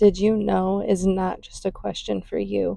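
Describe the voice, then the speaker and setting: A woman speaks at a fairly slow pace. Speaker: mother, spoken word creator.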